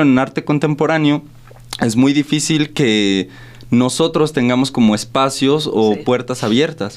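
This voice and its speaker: This man has an ordinary speaking voice at a fairly high pitch. His pace is moderate. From Irapuato, Guanajuato, Mexico. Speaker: visual artist. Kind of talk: radio interview. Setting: radio studio.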